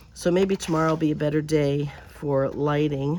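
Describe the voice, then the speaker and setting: A woman's very deep, low voice, monotone and flat, at a fairly slow pace, with audible room echo. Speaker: crafting video creator. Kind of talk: crafting tutorial. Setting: outdoors at the edge of a garage.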